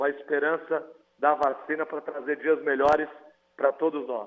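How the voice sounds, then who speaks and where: Delivered at a moderate pace, the speech comes across clearly. It is an ordinary speaking voice. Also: man. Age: 40s. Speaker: mayor. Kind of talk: TV interview.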